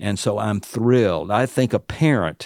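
A man's fairly low voice in a Southern US accent, with ordinary pitch variation, a dry, close sound with no echo, and a very clean recording over a silent background. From US South, Alabama. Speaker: author and seminary professor. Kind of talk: interview about prayer, conversational teaching. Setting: studio.

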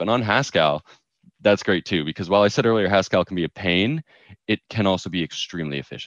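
Against a quiet background, a man with an ordinary speaking voice and fairly low pitch speaks with lively intonation in a dry, close sound with no echo. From US Northeast (New York). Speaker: crypto startup co-founder. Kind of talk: interview.

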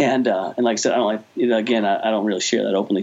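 A man with an American accent talks at a very fast pace in a fairly low pitch. Noticeable background noise is present. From New Jersey (Jersey Shore). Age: 40s. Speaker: youth pastor. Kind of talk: interview.

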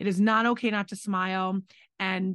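A woman with a normal speaking voice talks at medium pitch. The sound is dry and close with no echo, over a quiet background. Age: 40s. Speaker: restaurant owner and podcast co-host. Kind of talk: casual chat.

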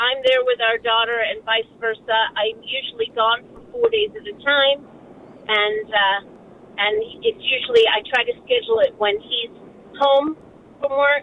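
Big swings in loudness mark this fairly slow delivery with fairly even intonation. Noticeable background noise is present. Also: woman, high pitch for a woman. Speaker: caller. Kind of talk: call-in radio talk. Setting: phone call.

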